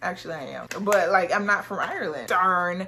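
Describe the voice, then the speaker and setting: A woman speaks in an animated tone. Noticeable background noise runs behind her. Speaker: fragrance reviewer. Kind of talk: product review haul. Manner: casual, with filler words.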